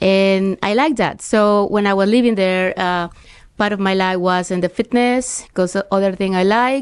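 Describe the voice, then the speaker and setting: A woman with a Spanish accent, medium in pitch, at a moderate pace, with fairly even intonation. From Mexico, Tampico. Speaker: real estate agent. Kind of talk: interview.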